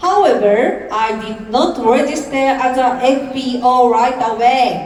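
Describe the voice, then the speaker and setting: Speaking very slowly in a high pitch with a Japanese accent, a woman is heard amid audible room echo and noticeable background noise. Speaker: network marketing entrepreneur. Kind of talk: motivational speech. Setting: stage with audience. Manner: careful, deliberate English.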